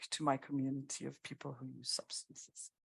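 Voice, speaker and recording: A woman talks at a moderate pace with a French accent. The sound is dry and close, with no echo. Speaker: harm reduction worker. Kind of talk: panel introduction.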